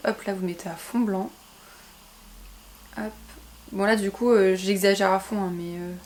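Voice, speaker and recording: With long, frequent pauses, a woman speaks at medium pitch with fairly even intonation. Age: 20s. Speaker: YouTuber. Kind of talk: casual talk to camera.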